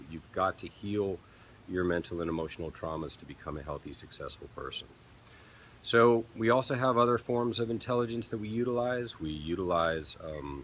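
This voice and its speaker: At a moderate pace, a man speaks with a fairly low pitch, lively intonation and big swings in loudness. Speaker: peak performance consultant. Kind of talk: live stream Q&A talk. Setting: live stream from a resort. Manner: speaking louder after viewer complaint.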